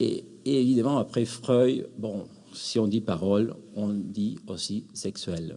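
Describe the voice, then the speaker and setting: Speaking with a Spanish accent, a man uses a fairly low pitch and ordinary pitch variation. He goes at a very slow pace. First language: Spanish (speaking French). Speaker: academic, psychoanalysis in education. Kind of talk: conference closing remarks. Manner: hesitant, many fillers.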